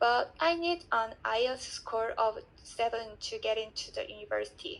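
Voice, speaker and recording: Speaking at a fairly slow pace, a woman talks with a Korean accent. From South Korea. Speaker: language student. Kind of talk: reading aloud.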